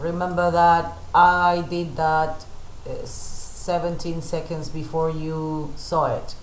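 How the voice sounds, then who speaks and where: A woman talks at a fairly low pitch in a monotone, flat intonation. Audible room echo and light background noise surround her. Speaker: photo retoucher and teacher; teacher. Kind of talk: live tutorial stream.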